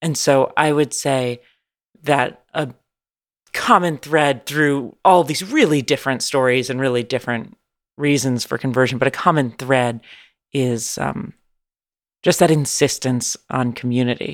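This woman speaks with an American accent at a fairly slow pace, her very deep, low voice showing ordinary pitch variation and broken by long, frequent pauses. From San Francisco, California. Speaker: journalist. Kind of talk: interview. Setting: remote call. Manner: animated.

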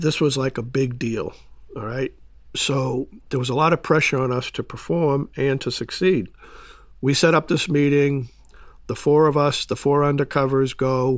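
A man with an American accent speaks in an ordinary speaking voice, fairly high in pitch, with fairly even intonation at a moderate pace. The recording is very clean, with a silent background. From Boston area, Massachusetts. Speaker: retired FBI undercover agent. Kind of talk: interview storytelling.

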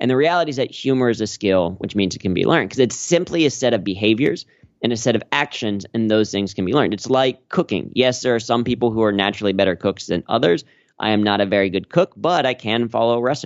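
A man with an American accent rattles along at a very fast pace with lively intonation. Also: medium pitch for a man. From US Midwest, Cincinnati, Ohio. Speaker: corporate humor trainer and stand-up comedian. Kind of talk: interview.

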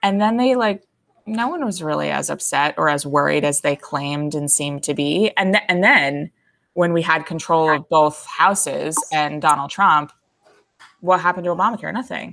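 With a very deep, low pitch, a woman talks at a moderate pace with ordinary pitch variation. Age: 30s. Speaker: conservative columnist. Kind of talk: casual interview.

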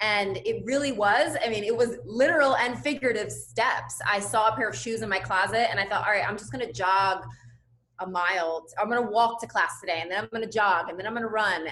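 A woman talks very fast with a General American accent in a fairly high voice, showing ordinary pitch variation. Her tone is bright and sharp, with some vocal fry. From US, Cuban and Puerto Rican family. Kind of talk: casual interview chat. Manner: high energy, positive.

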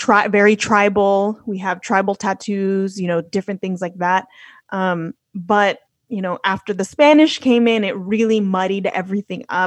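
A woman with an American accent speaks at a moderate pace with medium pitch and fairly even intonation. The sound is dry and close with no echo, over a quiet background. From Los Angeles, California. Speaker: podcaster and traveler. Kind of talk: casual conversational interview.

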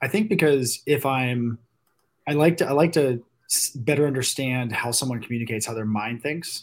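In an American accent, a man speaks with an ordinary speaking voice at medium pitch, a moderate pace and ordinary pitch variation. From Virginia Beach, Virginia. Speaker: venture capitalist and oyster farm co-owner. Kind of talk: casual chat.

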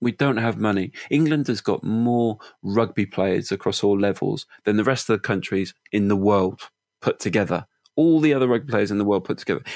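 With a Welsh accent, a man speaks at a fairly quick pace in a fairly low pitch, his loudness very even and his pitch variation ordinary, in a dry, close sound with no echo on a very clean recording with a silent background. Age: 30s. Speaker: marketing executive. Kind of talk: interview.

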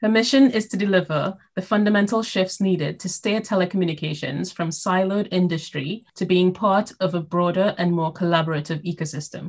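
A woman's medium-pitched, somewhat breathy voice at a fairly quick pace, with hardly any pauses and ordinary pitch variation. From Caribbean. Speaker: podcast host. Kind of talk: interview; scripted introduction.

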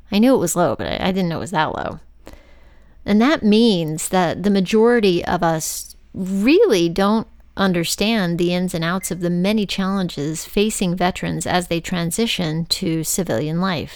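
A woman's unremarkable speaking voice with an American accent, medium pitch, ordinary pitch variation and a moderate pace. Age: 50s. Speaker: podcast host. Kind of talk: scripted narration; casual chat.

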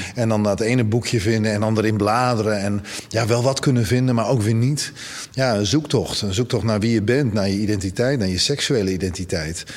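A man speaks at a fairly quick pace and a fairly low pitch. His pitch varies in an ordinary way over noticeable background noise. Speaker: presenter and LGBTI activist. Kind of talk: interview.

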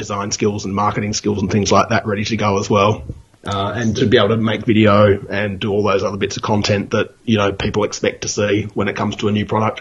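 A man with an Australian accent rattles along at a very fast pace with hardly any pauses, his fairly low pitch in a fairly even intonation. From Broken Hill, New South Wales, Australia. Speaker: novelist. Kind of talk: casual interview.

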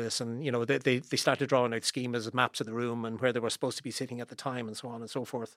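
The recording is very clean, and the background is silent. The man's voice is medium in pitch. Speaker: former juror. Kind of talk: casual interview chat.

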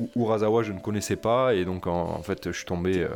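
Noticeable background noise sits behind a man who talks at a moderate pace, his pitch varying in an ordinary way. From Toulouse, southern France. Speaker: podcast co-host. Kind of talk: casual chat.

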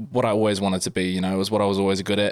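A man with a New Zealand accent speaks in a very deep, low pitch. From New Zealand, Wellington. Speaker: professional rugby player. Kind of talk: casual chat.

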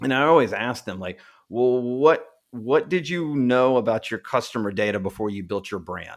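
An ordinary speaking voice rises and falls in lively intonation with big swings in loudness. The recording is very clean, with a silent background. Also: man, medium pitch for a man, moderate pace. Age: 40s. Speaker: marketing agency owner, former political campaign consultant. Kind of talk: interview.

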